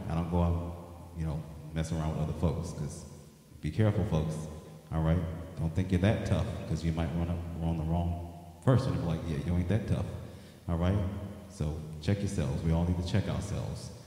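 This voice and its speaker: A man speaks at a fairly quick pace in a very deep, low voice with ordinary pitch variation, and the room echo is audible. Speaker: singer hosting his own show. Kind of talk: casual livestream news update chat. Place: home room. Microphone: handheld.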